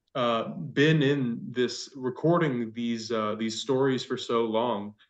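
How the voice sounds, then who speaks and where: An unremarkable speaking voice from a man, medium in pitch, with fairly even intonation against a quiet background. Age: young. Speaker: youth cohort member. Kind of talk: interview question.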